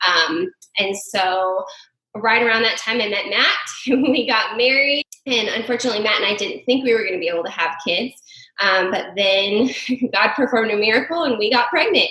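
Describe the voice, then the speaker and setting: A woman with an American accent talks at a moderate pace in a normal speaking voice, fairly high in pitch with ordinary pitch variation. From New Mexico, US. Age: 30s. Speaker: stay-at-home mother. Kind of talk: podcast interview. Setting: together in Albuquerque, remote podcast.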